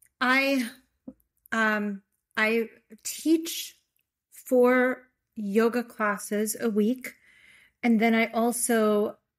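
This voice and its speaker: In a very clean recording with a silent background, the speaker talks with a Chicago accent. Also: woman. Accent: Chicago American English. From US Midwest, Chicago. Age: 60s. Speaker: yoga therapist and author. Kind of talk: interview conversation.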